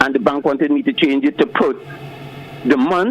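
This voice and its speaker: Noticeable background noise sits behind a man speaking at a moderate pace. His pitch swings very widely. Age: 60s. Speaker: caller. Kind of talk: call-in opinion. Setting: phone call.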